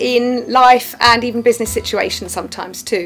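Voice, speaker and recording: Faint music plays in the background as the speaker talks at a moderate pace. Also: woman. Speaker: TV presenter; alchemy healer. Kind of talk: presenter piece to camera. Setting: outdoors. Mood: warm, smiling, lightly self-deprecating. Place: studio.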